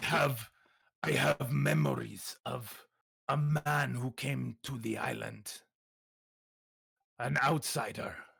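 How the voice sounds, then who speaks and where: Using a put-on character voice, a man speaks very slowly at a medium pitch, with long, frequent pauses. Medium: actual play. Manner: stiff, formal, no contractions.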